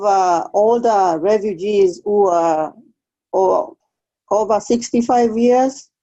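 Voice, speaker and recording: Speaking with an East African accent, a woman has a fairly high pitch and a dark, mellow tone. Her pace is very slow, her intonation lively and her loudness very even. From Kenya. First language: Swahili. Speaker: refugee case aide. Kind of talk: interview.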